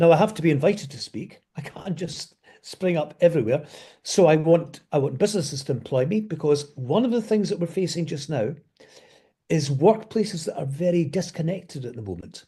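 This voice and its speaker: Fairly high-pitched for a man, this voice has a dark, mellow tone and a Scottish accent. He talks at a fairly quick pace with lively intonation. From Scotland. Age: 70s. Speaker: business speaker. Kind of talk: interview.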